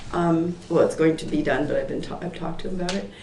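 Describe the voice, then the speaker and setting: A woman's fairly low voice carries audible room echo, with noticeable background noise behind it. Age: 60s. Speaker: Pilates and yoga instructor. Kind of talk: public meeting testimony. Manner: hesitant, many fillers.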